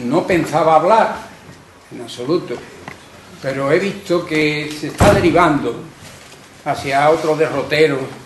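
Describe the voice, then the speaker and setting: In an Andalusian accent, a man speaks fairly slowly at a fairly high pitch with ordinary pitch variation. Noticeable background noise and audible room echo fill the recording. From Carmona, Andalusia. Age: 80s+. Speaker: audience member, civil war witness. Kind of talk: public testimony.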